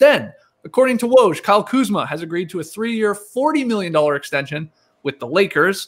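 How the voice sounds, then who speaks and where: A man speaks at a moderate pace with very wide pitch swings. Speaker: podcast host. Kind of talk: podcast host reading news notes. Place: home room. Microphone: studio mic.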